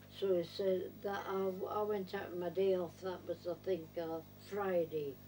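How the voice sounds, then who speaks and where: Against noticeable background noise, a woman speaks at medium pitch and a fairly slow pace with monotone, flat intonation. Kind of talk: interview answer. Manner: hesitant, repetitive.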